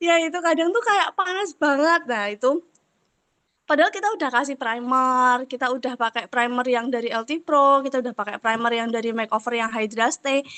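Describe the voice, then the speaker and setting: At a moderate pace, a woman speaks in a bright, sharp tone within a dry, close sound with no echo. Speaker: makeup artist asking a question. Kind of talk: question in online class.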